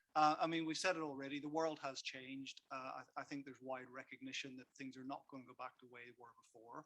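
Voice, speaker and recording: With a Belfast accent, a man at medium pitch rattles off words at a very fast pace with hardly any pauses, his bright, sharp tone flat in intonation and his loudness swinging widely. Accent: Belfast accent, kept. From Northern Ireland, Belfast. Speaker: workplace consultant. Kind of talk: conference talk. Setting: stage with audience. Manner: repetitive stammering starts.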